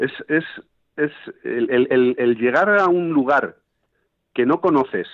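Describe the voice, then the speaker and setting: Loudness stays very even as a fairly high-pitched man speaks very slowly with long, frequent pauses and ordinary pitch variation. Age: 50s. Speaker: fly fishing guide and fly tier. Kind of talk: casual interview. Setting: phone call.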